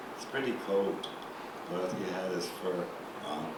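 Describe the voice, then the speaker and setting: The pace is fairly slow. Noticeable background noise runs under the speech. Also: man. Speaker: rabbi and university professor. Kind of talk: lecture telling a folk story to an audience. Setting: lecture hall.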